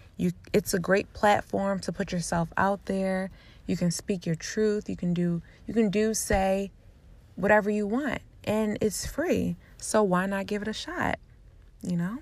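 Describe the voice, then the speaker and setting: Over a silent background in a very clean recording, a woman with a normal speaking voice talks at a fairly slow pace with fairly even intonation. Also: medium pitch for a woman. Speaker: podcast host. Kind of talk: guided meditation. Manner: slow, soothing, calm and gentle; soft-spoken.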